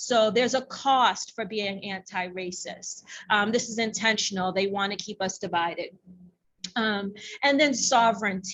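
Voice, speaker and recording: A normal speaking voice from a woman at medium pitch, at a moderate pace with fairly even intonation. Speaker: workshop presenter and racial justice advocate. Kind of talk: workshop presentation. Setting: conference room with audience. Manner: many filler ums.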